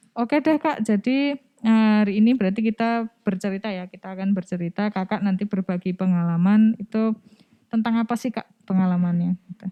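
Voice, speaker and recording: Fairly quick speech from a woman, medium in pitch and ordinary in pitch variation. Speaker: podcast host. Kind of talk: casual interview chat.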